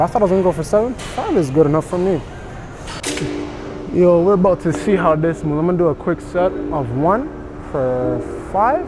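A man talks in a high pitch. Clear music plays in the background. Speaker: fitness vlogger. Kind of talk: casual vlog chat. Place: gym. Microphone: lapel.

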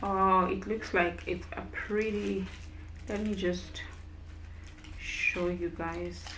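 A woman speaks at a very slow pace with long, frequent pauses. Noticeable background noise is present. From South Africa. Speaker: YouTuber, food reviewer. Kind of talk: product review vlog. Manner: casual, hesitant with fillers. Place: home room. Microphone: camera far.

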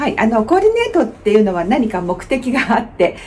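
Light noise runs in the background. Over it, a woman talks. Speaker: kimono styling instructor. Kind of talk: tutorial. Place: home room.

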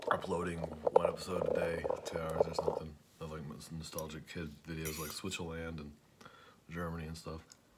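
With loud noise in the background, a man talks at a fairly quick pace. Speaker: YouTuber. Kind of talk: mukbang eating video. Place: home room. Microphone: phone near.

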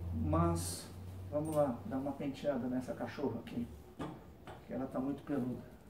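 A man at a moderate pace with lively intonation and long, frequent pauses, over noticeable background noise. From Brazil. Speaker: YouTuber. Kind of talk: casual vlog narration. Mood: relaxed, cheerful. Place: garden. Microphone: camera far.

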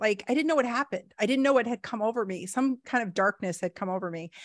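A woman speaks with lively intonation. Her background is quiet. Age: 40s. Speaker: podcast host. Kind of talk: casual interview chat. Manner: halting. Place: home room. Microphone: studio mic.

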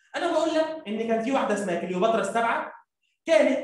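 In an Egyptian accent, a man speaks at an extremely high pitch with lively intonation and a fairly quick pace. Audible echo comes from the room. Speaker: primary school teacher; teacher. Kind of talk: lecture. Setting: live stream. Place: classroom.

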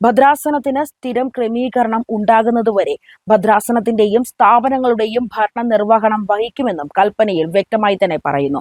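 A woman talks in an unremarkable speaking voice, fairly high in pitch with ordinary pitch variation. The sound is dry and close, with no echo. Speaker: church news commentator. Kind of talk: scripted news commentary.

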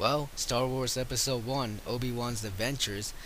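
At a moderate pace, a man speaks at a medium pitch with a bright, sharp tone. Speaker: video game reviewer. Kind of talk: game review voice-over. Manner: casual.

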